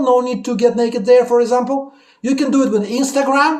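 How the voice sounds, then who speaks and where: With audible room echo around him, a man speaks in an animated tone at an extremely high pitch. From Russia. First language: Russian. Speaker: YouTuber. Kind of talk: casual chat.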